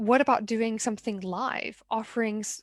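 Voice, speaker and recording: With a Mid-Atlantic American accent, a woman speaks in fairly even intonation on a very clean recording with a silent background and a dry, close sound with no echo. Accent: Mid-Atlantic, posh American. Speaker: art business consultant and show host. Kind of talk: solo talk show monologue. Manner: conversational, with frequent repetitions.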